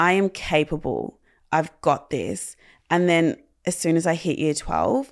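On a very clean recording with a silent background, a woman with an Australian accent speaks at a very deep, low pitch. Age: 20s. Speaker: content creator and mental health advocate. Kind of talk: personal testimony in interview.

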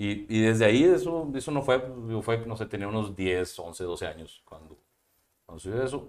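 The speaker is a man with a medium pitch and lively intonation. His pace is moderate, and his loudness swings widely. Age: 30s. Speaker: entrepreneur. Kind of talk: interview. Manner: halting.

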